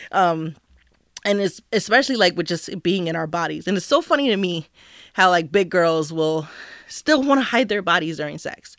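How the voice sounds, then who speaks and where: In an American accent, a woman with a fairly low pitch speaks at a moderate pace with lively intonation in a normal speaking voice, in a very clean recording with a silent background. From New Jersey. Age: 30s. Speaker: podcast guest, grad student and mother. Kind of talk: casual chat. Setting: studio.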